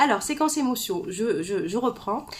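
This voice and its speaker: Her intonation is lively, and this woman sounds somewhat breathy. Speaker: author and personal development coach. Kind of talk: live stream talk to viewers. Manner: fast, gets carried away; hesitant fillers, repeats words.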